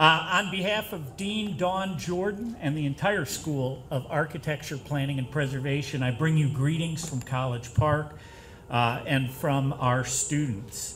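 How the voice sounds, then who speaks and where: A man's fairly slow speech, fairly high in pitch with ordinary variation, amid noticeable background noise and audible room echo. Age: 60s. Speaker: professor. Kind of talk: speech at reception.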